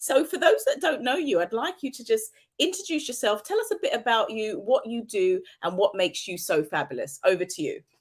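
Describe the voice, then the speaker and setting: A woman's fairly high voice with a British accent, fairly quick pace and very wide pitch swings. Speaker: talk show host. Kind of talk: interview.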